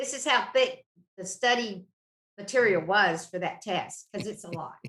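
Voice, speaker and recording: A woman with a Southern accent, bright, sharp tone and ordinary pitch variation. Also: medium pitch for a woman, moderate pace. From North Carolina, High Point. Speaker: mortgage loan officer. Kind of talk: casual interview chat.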